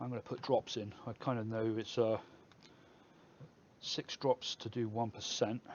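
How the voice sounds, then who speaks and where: In an English accent, a man mumbles at a moderate pace and medium pitch, monotone and flat, with long, frequent pauses. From England. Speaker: e-liquid mixing streamer. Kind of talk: live stream tutorial. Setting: live stream. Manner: mumbling; casual.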